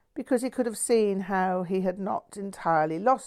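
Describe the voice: The clip consists of plain reading aloud.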